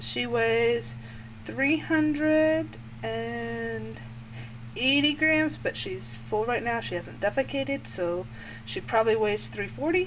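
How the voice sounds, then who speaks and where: With noticeable background noise behind her, a woman with a fairly low pitch talks at a very slow pace while her pitch swings very widely. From Indiana. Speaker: snake keeper. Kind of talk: casual talk over a feeding video. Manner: hesitant, many fillers.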